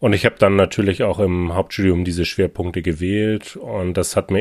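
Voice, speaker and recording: The recording is very clean with a silent background, carrying a man's very deep, low voice. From northern Germany, Hamburg. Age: 30s. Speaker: finance director. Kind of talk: interview.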